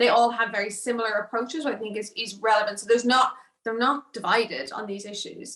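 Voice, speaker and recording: This woman talks with an Irish accent at a fairly high pitch. She moves at a fairly quick pace. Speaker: political risk analyst. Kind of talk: panel discussion. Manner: halting with repetitions.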